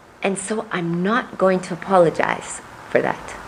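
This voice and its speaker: A woman with an American accent at medium pitch, over noticeable background noise. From Missouri, US Midwest. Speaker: political candidate. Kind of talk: interview.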